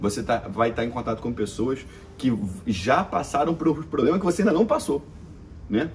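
Over background music, a man talks at a fairly quick pace in a fairly high voice that swings very widely in pitch. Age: 20s. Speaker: entrepreneur. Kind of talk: interview.

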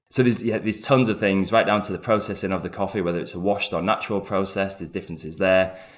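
A man with a British accent speaks in a fairly low pitch with fairly even intonation. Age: 40s. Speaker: coffee company founder. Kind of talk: interview.

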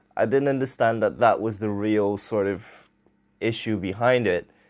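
With a Portuguese accent, a man speaks at a moderate pace and with fairly even intonation against a quiet background. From Portugal. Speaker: podcast host. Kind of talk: solo podcast monologue.

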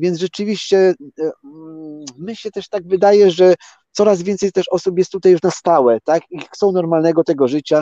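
In a dry, close sound with no echo, a man speaks at a moderate pace in a high pitch with a dark, mellow tone and ordinary pitch variation. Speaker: former competitive runner, glacier hiker. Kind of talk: casual interview.

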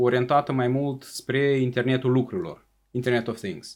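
A man's voice at medium pitch. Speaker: government official, state secretary for the economy. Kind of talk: interview. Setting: studio.

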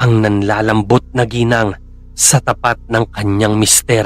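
Using a monotone, flat intonation, a man speaks fairly slowly at a medium pitch. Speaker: horror story narrator. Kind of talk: true-crime horror narration, read from a script. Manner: grim, hushed and slow, building dread, then a direct, chilling address to the listener.

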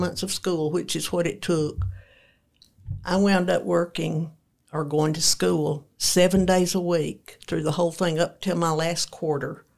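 In a Tennessee accent, a woman speaks fairly slowly at a fairly low pitch with ordinary variation, on a very clean recording with a silent background. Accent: US Southern (Tennessee). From Middle Tennessee, rural. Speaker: host's mother. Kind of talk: casual interview.

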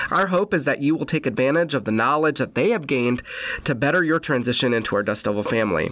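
Over noticeable background noise, a man with an American accent speaks in a fairly high pitch with lively intonation. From Wisconsin. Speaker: university orientation director. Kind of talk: podcast interview.

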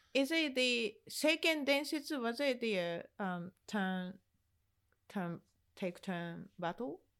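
Speaking at a very slow pace with a Japanese accent, a woman with a fairly high pitch makes very wide pitch swings in a very clean recording with a silent background. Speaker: video game podcast co-host. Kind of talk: casual chat. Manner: halting.

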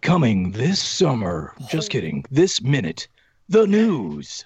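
In a put-on character voice, a man speaks at a medium pitch and fairly slow pace with very wide pitch swings. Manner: dramatic announcer delivery.

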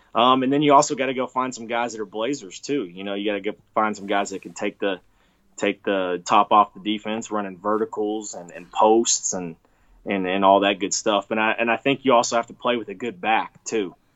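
In a plain, everyday voice, a man talks at a fairly quick pace and fairly low pitch, his intonation fairly even while his loudness swings widely. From Texas. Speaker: college football coach. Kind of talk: interview.

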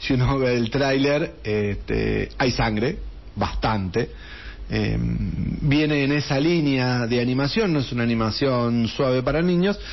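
A man speaks at a fairly slow pace with very even loudness and ordinary pitch variation. His pitch is medium, and audible room echo surrounds the voice. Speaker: radio host. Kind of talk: casual chat. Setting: studio.

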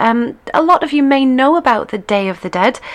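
Here is a woman with a British accent. She talks at a fairly quick pace. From Britain. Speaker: internet radio host and line dance teacher. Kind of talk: radio show presenting, casual. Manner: chatty, many filler words.

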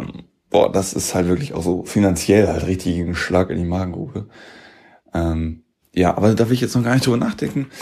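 A man speaks at a very deep, low pitch in a dark, mellow tone, with ordinary pitch variation and a moderate pace. The recording is very clean, with a silent background. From Lower Saxony, Germany (small town). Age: 20s. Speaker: podcast host. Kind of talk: casual monologue, personal podcast diary. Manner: animated, colloquial.

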